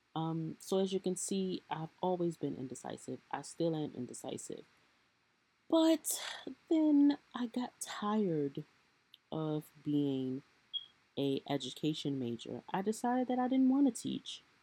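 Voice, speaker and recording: A woman with an American accent and a fairly low, dark, mellow voice, at a fairly slow pace with very wide pitch swings and long, frequent pauses, in a dry, close sound with no echo. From Baltimore, Maryland. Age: 20s. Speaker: podcast host. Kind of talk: solo personal podcast monologue. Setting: at home on bed.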